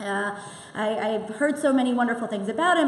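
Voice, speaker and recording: Loud and high-pitched, a woman speaks with lively intonation over noticeable background noise and audible room echo. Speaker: synagogue president. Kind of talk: event welcome speech. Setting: synagogue hall with audience and microphone.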